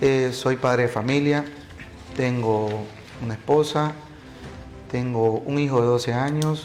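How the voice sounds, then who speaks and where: Over music in the background, a man talks at a fairly slow pace with fairly even intonation and long, frequent pauses. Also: medium pitch for a man. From Bolivia, Montero (Santa Cruz). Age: 40s. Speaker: political candidate, lawyer. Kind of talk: interview. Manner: hesitant with filler sounds.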